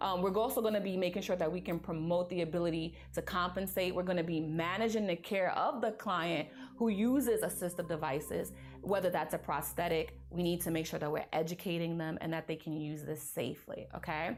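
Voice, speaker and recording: Music plays in the background as the speaker goes at a fairly quick pace with ordinary pitch variation and audible room echo. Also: woman, fairly low pitch for a woman. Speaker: nursing exam review instructor. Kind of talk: lecture. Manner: animated.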